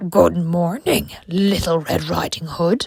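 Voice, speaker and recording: A woman uses a put-on character voice that is gruff and fairly low in pitch. She speaks at a fairly slow pace. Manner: sly, feigning friendliness.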